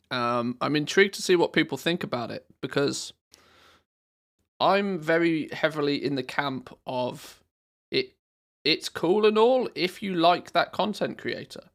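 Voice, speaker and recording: A man with a British accent speaks at a fairly slow pace in a high pitch with lively intonation, on a very clean recording with a silent background. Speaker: gaming streamer. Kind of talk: live stream chat. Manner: animated.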